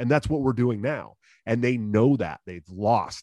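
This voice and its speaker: In a quiet background, a man with a plain, everyday voice talks at a fairly quick pace with ordinary pitch variation. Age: 30s. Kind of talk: casual interview.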